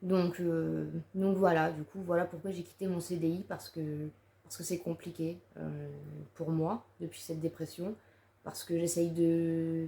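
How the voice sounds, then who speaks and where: The woman's voice sits at a fairly low pitch, with a dark, mellow tone and fairly even intonation. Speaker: YouTuber. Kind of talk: personal vlog monologue. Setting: seated to-camera video. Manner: halting.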